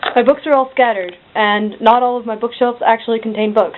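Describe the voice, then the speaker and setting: Her pitch fairly high, a woman talks at a fairly quick pace with noticeable background noise. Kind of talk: casual talk to camera. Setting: bedroom. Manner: monotone, deadpan.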